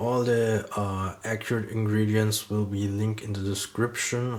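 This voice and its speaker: A fairly slow delivery in a German accent. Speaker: cooking channel host. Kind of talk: cooking tutorial. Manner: halting, with many fillers.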